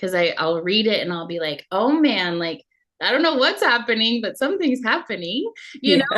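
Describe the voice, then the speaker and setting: At a moderate pace, a woman talks with a fairly high pitch and very wide pitch swings. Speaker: emotional healing coach and channel host. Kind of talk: casual conversational interview.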